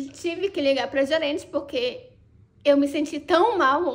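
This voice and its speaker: A woman speaks in a high voice at a moderate pace. Her tone is animated, with ordinary pitch variation. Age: 30s. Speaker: vlogger. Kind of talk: personal storytelling vlog. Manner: casual, animated.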